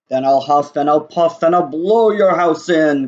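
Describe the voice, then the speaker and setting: Putting on a character voice, a man speaks at a moderate pace and a fairly high pitch. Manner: growling, menacing.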